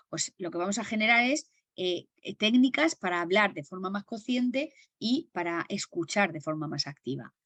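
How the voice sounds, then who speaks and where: A woman speaks at a medium pitch with very wide pitch swings. The sound is dry and close with no echo. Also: moderate pace. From Murcia, Spain. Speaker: stress management trainer. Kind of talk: webinar lecture. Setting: video call. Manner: carefully enunciated.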